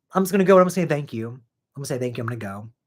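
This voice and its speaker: A man with very wide pitch swings. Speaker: horror movie reaction youtuber. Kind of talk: casual live stream chat. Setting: live stream. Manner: stuttering, slurring a bit.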